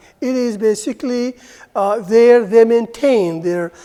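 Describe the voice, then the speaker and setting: A woman speaks with an Arabic accent and ordinary pitch variation. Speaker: university lecturer. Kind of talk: lecture.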